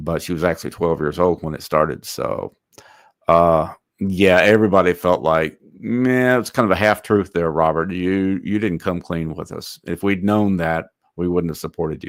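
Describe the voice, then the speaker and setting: At a moderate pace and with ordinary pitch variation, a man with a very deep, low voice speaks in a Texan accent on a very clean recording with a silent background. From north Texas. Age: 60s. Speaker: online commentator. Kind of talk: livestream commentary reading chat. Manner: casual, hesitant with fillers.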